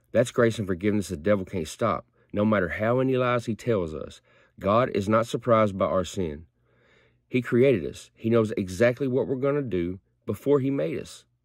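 A man at a moderate pace with ordinary pitch variation, dry sound with no echo, and a quiet background. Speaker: lay preacher. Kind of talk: short sermon-style prayer devotional. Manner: earnest, conversational preacher tone, plain-spoken and direct; animated, mock-dramatic when acting out God's reaction. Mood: earnest, reflective. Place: home room. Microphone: phone near.

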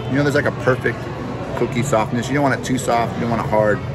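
Clear music can be heard behind a man as he talks. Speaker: theme park food vlogger. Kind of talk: casual vlog chat. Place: street. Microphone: phone near.

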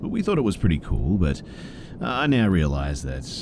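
Someone with an Australian accent talks with very wide pitch swings amid noticeable background noise. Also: man. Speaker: horror story narrator. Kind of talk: scripted narration of scary stories read aloud in a hushed, spooky bedtime tone.

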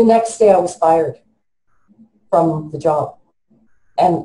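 A woman's fairly low, somewhat breathy voice with a dark, mellow tone, moderate pace and audible room echo. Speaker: interviewee. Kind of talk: interview answer. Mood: distressed, emotional retelling. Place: home room. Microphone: video call.

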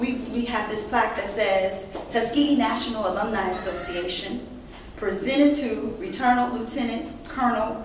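The pace is fairly quick, broken by long, frequent pauses. Room echo is audible and background noise is noticeable. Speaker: association leader. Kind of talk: ceremonial speech. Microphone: camera far.

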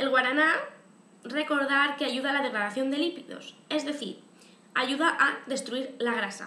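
Against light background noise and audible room echo, a woman with a Spanish accent raises and projects her high-pitched voice. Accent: Peninsular Spanish. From Spain. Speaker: YouTube vlogger. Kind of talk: casual vlog to camera. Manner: chatty, frequent fillers. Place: home room. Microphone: webcam.

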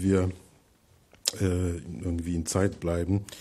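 Over light background noise comes a dark, mellow, somewhat breathy voice with monotone, flat intonation. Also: man. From Poland, Masuria/Warmia; Poland. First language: Polish (speaking German). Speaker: writer; guest lecturer. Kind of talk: lecture. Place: hall. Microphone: podium.

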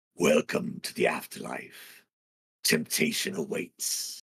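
Putting on a raspy character voice, a man speaks at a high pitch and a fairly slow pace. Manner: ominous, intoning.

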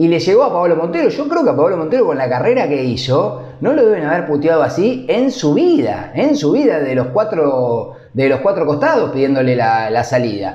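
With faint background noise behind him, a man talks at a fairly quick pace with few pauses in a slightly mellow, fairly high-pitched voice that makes big pitch swings.

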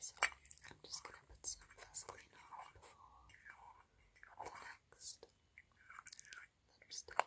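Speaking at a fairly slow pace, a woman leaves long, frequent pauses. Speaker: ASMR creator. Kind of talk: ASMR whisper talk to camera. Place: home room. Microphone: phone near.

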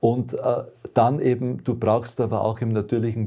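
A man speaks at a moderate pace with a dark, mellow tone. The background is quiet. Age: old. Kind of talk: testimony. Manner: hesitant, frequent fillers. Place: home room.

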